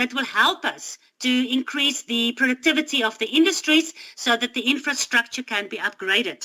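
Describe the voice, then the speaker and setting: In a dry, close recording with no echo, a woman uses a raised, projected voice with a high pitch and a bright, sharp tone. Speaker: Bible study teacher. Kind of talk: Bible study talk.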